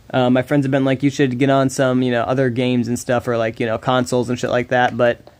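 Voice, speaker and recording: A man speaks at a very fast pace in a monotone, flat delivery over noticeable background noise. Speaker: mobile gaming streamer. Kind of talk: casual live-stream chat. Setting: live stream on mobile. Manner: halting, with repeated stammers.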